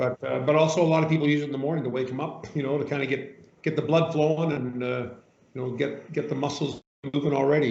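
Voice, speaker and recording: With audible room echo, a man talks at a very fast pace in a fairly high pitch with fairly even intonation. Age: 60s. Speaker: massage chair retailer interviewing customers. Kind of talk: customer interview.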